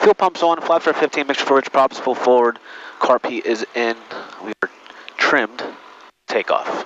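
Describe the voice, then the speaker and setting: A man with a fairly high pitch speaks at a moderate pace, with ordinary pitch variation and long, frequent pauses. The sound is dry with no echo, and there is light background noise. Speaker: private pilot and aviation video creator. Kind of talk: cockpit vlog narration mixed with clipped air traffic radio calls. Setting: in a small airplane cockpit, on headset radio. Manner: terse radio phraseology, polite 'sir' to controllers; casual, rambling with frequent 'uh' fillers. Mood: relaxed, casual. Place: plane. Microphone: headset.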